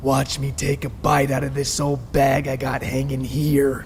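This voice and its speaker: A man growls in a put-on character voice with a menacing tone at a medium pitch. He speaks at a moderate pace over clear background noise. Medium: read story. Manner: growling, menacing.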